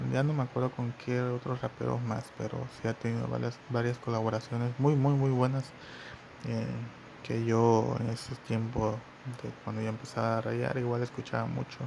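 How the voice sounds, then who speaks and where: A man with a Mexican accent, moderate pace. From Mexico. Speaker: podcast host, former graffiti artist. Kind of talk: solo podcast monologue. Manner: halting, many fillers.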